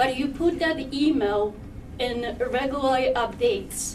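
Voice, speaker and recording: Audible room echo and noticeable background noise surround the recording. The woman speaking shows ordinary pitch variation. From Poland. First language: Polish. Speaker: parent speaking at public comment. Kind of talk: public comment at board meeting. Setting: public meeting with microphone. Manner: halting.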